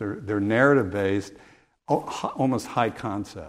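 A man with an American accent. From US Midwest, rural Illinois. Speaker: film professor and documentary filmmaker. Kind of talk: public Q&A discussion. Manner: halting, many fillers and repeats.

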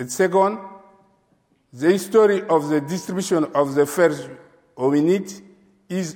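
A man with a non-native accent speaks at a high pitch with ordinary pitch variation. His pace is fairly slow, broken by long, frequent pauses. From Chad. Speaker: paleontologist. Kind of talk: lecture. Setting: stage with audience. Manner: halting.

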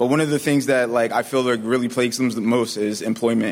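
Over noticeable background noise, a man speaks at a fairly quick pace in a medium pitch. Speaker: youth council member, former offender. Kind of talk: speech to audience. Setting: stage with audience.

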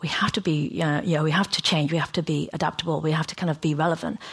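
A woman speaks at a very fast pace. Her fairly low voice carries vocal fry. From Hong Kong, raised in England. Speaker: fashion executive. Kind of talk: talk to an audience. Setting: stage with audience.

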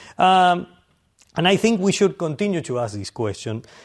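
A man speaks with a Spanish accent, his pitch swinging very widely. The recording is very clean, with a silent background. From Argentina. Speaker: historian. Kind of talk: lecture.

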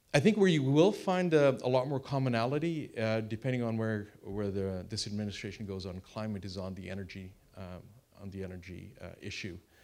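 A fairly low-pitched man at a fairly quick pace, with big swings in loudness. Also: lively intonation. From Canada. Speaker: former diplomat, panelist. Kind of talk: panel discussion. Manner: halting, many fillers and repeats.

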